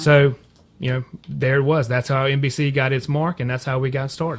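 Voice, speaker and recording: In an American accent, a man speaks with a fairly high, somewhat breathy voice and monotone, flat intonation. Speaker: broadband company representative. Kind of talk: radio interview answer. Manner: conversational, fluent.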